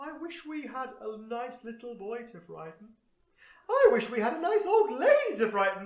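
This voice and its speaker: A put-on character voice at a fairly high pitch and moderate pace, with a slight echo. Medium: read story.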